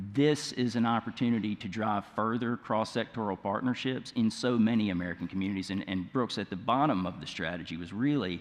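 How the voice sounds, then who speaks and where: A man with a fairly low pitch talks at a fairly quick pace, using ordinary pitch variation and hardly any pauses. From Mississippi. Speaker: nonprofit leader, panelist. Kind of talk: conference panel discussion.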